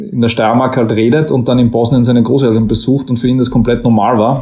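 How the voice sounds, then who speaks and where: The intonation here is fairly even. It is a normal speaking voice. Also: man. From Austria, Styria. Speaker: author. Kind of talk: interview.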